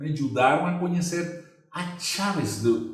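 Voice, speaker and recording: A man with a Venezuelan accent speaks at a fairly slow pace. Audible echo fills the room. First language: Spanish (speaking Portuguese). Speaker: real estate agency owner and trainer. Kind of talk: educational presentation. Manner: halting, with many fillers and repetitions.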